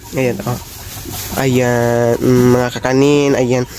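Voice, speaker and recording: A man talks while noticeable background noise continues underneath. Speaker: vlogger. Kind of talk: casual vlog narration. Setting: bank, then at home.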